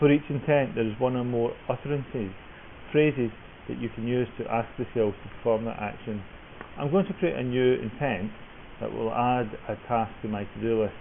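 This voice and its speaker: Through noticeable background noise, a man speaks at a moderate pace and medium pitch with ordinary pitch variation. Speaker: software developer. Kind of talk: tutorial.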